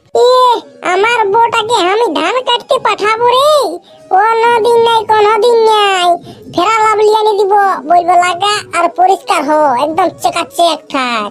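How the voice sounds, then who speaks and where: Over clear background music, a cartoonish character voice with an extremely high pitch talks at a moderate pace. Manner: crude, grumbling.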